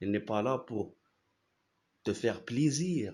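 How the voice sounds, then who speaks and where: In an Arabic accent, a man talks at a very slow pace with lively intonation. The recording is very clean, and the background is silent. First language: Arabic (speaking French). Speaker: philosophy YouTuber. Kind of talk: casual explanatory talk. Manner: halting, many repetitions and fillers.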